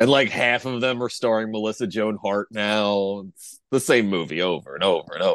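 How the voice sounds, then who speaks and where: A man with a normal speaking voice talks at a moderate pace with hardly any pauses. His fairly low pitch has ordinary variation, while his loudness swings widely. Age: 30s. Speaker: podcast co-host. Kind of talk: casual chat.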